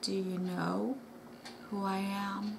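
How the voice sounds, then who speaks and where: A female-sounding voice does a put-on character voice at a medium pitch for a woman. Loud background noise runs underneath. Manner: menacing, intense.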